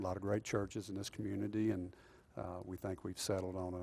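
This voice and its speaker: A man with a Texan accent, fairly low-pitched and dark and mellow in tone, at a moderate pace with monotone, flat intonation. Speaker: police chief. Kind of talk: interview.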